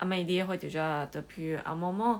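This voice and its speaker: Very slow speech from a woman at medium pitch in a Chinese accent, on a very clean recording with a silent background. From Taiwan. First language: Chinese (speaking French). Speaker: livestreamer. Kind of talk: live stream chat with viewers. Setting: livestream. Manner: halting, many hesitations.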